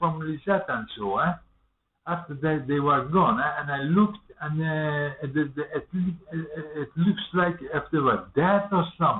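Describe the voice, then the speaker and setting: The speaker goes at a fairly slow pace with fairly even intonation. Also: man. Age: 40s. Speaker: vlogger. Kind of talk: casual monologue to webcam. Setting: webcam recording at home. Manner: halting, many fillers and repetitions.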